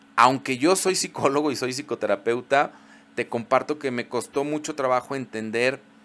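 At a fairly slow pace, a man speaks in a fairly high pitch with ordinary pitch variation. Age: 40s. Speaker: podcast host, psychologist. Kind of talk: solo podcast monologue.

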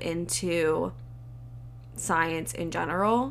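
There's audible room echo as a woman talks in an American accent. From Southern California. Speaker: podcast host, medical student. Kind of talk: casual solo talk.

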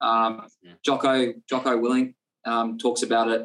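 At a moderate pace, a man speaks in an Australian accent with monotone, flat intonation. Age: 20s. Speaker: personal trainer and nutritionist. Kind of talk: casual interview chat. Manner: halting, many fillers.

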